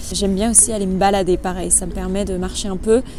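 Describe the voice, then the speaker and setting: A woman's speech comes through with noticeable background noise and audible room echo. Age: 20s. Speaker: dog trainer and lifestyle vlogger. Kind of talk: casual vlog. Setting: outdoors.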